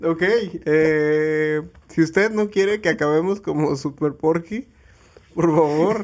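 A man speaks very slowly with a Mexican accent. His pitch is fairly high and his loudness very even. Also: ordinary pitch variation. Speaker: podcast co-host and editor. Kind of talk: casual chat.

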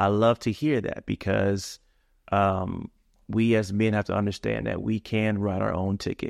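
A man with an ordinary speaking voice, fairly low in pitch with fairly even intonation, at a moderate pace, in a dry, close sound with no echo and a quiet background. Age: 40s. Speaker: father. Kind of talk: casual chat.

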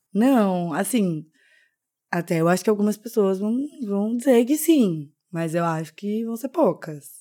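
A woman with a dark, mellow tone and medium pitch speaks at a fairly slow pace on a very clean recording with a silent background. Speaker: consultant and podcast co-host. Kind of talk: casual chat.

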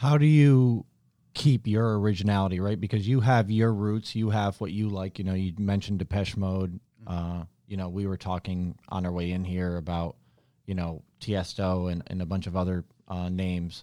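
A speaker with a General American accent has a dark, mellow tone and ordinary pitch variation at a moderate pace. The recording is very clean, with a silent background. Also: man, very deep, low pitch for a man. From upstate New York. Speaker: podcast host. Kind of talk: casual interview chat.

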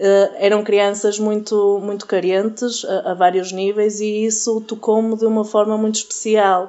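Against noticeable background noise, a woman with a fairly high pitch talks at a fairly slow pace with hardly any pauses, her intonation monotone and flat. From Portugal. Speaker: youth group leader. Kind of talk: interview. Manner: halting.

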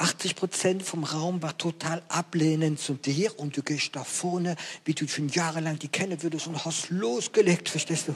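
A fairly high-pitched man with a French accent, fairly even intonation and a moderate pace, over noticeable background noise. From France. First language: French (speaking German). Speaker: evangelist preacher. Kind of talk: sermon.

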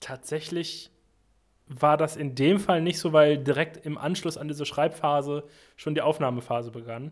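This man has an unremarkable speaking voice, fairly high in pitch, and he talks at a moderate pace with fairly even intonation. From western Germany (Sauerland, Arnsberg). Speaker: musician. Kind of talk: casual chat. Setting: remote call.

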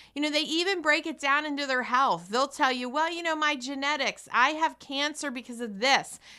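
On a very clean recording with a silent background, a woman speaks with a high pitch and a bright, sharp tone. Her raised, projected voice sounds animated and moves at a moderate pace. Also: hardly any pauses. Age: 40s. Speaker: radio host. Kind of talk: motivational radio talk.

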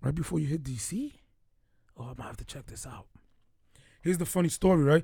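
A man with an American accent talks at a very fast pace yet with long, frequent pauses. His fairly high pitch has ordinary variation, and the tone is dark, mellow and somewhat breathy. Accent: Dominican-tinged New York. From Bronx, New York, Dominican background. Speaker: podcast co-host, police detective. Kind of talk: casual chat.

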